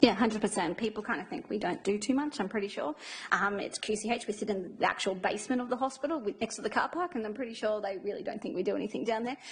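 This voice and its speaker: A woman with an Australian accent, fairly high-pitched and very fast, amid noticeable background noise. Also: ordinary pitch variation. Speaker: infection control nurse. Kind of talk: presentation to audience. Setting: room with live audience.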